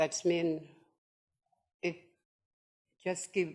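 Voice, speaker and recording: A woman speaks with a northern Australian accent. Her pitch is very deep and low. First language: Yolngu language. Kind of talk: conference presentation. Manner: halting.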